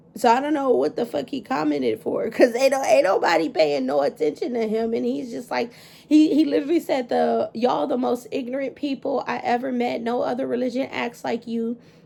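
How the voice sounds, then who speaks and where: Over noticeable background noise, the speaker talks at a fairly quick pace in an animated tone with hardly any pauses. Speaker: tarot reader. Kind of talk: tarot reading livestream. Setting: livestream. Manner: casual, animated.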